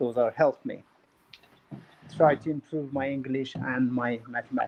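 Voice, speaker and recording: A man with a non-native accent speaks at a moderate pace and medium pitch in monotone, flat intonation. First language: not English. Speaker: former MMA fighter turned real estate developer. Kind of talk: interview. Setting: live stream.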